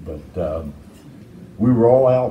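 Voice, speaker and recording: Against light background noise and audible room echo, a man speaks in a dark, mellow tone. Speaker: interviewee. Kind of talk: interview answer.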